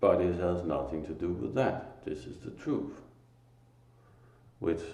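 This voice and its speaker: With a Danish accent and a very deep, low pitch, a man talks at a fairly slow pace with long, frequent pauses, and audible room echo surrounds him. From Denmark. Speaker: spiritual teacher. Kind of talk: religious monologue. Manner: halting, pauses to find words.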